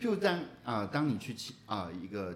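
Medium-pitched male speech at a fairly quick pace with very wide pitch swings. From Taiwan, Taichung. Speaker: podcast co-host, former reporter. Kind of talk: casual chat.

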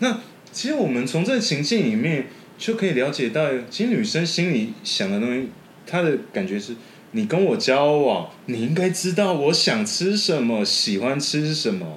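The pitch swings very widely at a moderate pace. Room echo is audible. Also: man, fairly high pitch for a man. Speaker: podcast editor. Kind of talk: casual chat.

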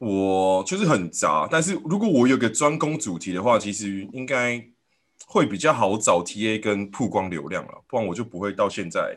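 Over a quiet background, a man with a normal speaking voice talks at a medium pitch. His pace is moderate and his intonation lively. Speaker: podcast host. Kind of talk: casual chat.

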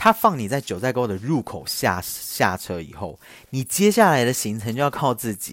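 Very wide pitch swings mark this man's medium-pitched voice, captured in a very clean recording with a silent background. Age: 30s. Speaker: podcast host. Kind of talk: casual storytelling monologue. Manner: louder than before.

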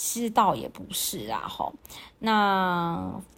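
On a very clean recording with a silent background, the words come very slowly. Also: woman. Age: 40s. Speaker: podcast host and fitness and dance instructor. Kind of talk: casual monologue.

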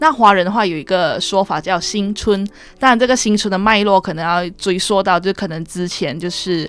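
Music plays behind a woman as she speaks. Her pitch is medium with ordinary variation. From Malaysia. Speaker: university student. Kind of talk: radio interview.

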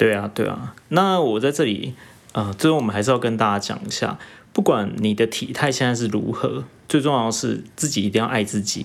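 A man's medium-pitched voice with vocal fry and lively intonation, at a fairly quick pace, on a very clean recording with a silent background. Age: 30s. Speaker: podcast co-host. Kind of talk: casual chat.

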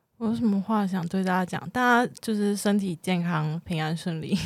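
A woman speaks in a plain, everyday voice at a medium pitch and moderate pace, with ordinary pitch variation. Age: 20s. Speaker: freelance theater designer and performer. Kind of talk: casual chat.

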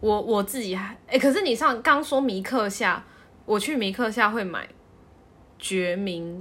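Her tone is bright and sharp, and her pitch is fairly high with ordinary variation. The woman speaks at a fairly slow pace. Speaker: podcast co-host. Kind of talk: casual chat.

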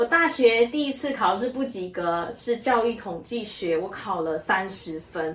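At a fairly slow pace, a woman talks with a fairly high pitch and very wide pitch swings. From Malaysia. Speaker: church member sharing her life story. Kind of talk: testimony.

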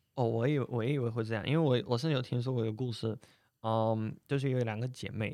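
Using a fairly even intonation, a man talks at a very fast pace in a medium pitch with a dark, mellow tone. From Russia. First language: Russian (speaking Chinese). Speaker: Russian guest commentator. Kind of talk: casual interview. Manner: halting, many fillers.

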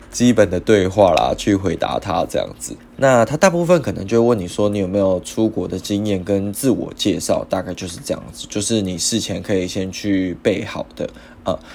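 A man with a plain, everyday voice speaks at a moderate pace, with a fairly low pitch and ordinary pitch variation. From Taiwan. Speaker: podcast host. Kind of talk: casual monologue.

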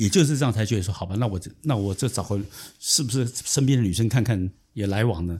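The man's voice is fairly low and somewhat breathy, with ordinary pitch variation. He talks at a very fast pace. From southern Taiwan. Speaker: consultant. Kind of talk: interview. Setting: in-person studio recording. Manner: halting.

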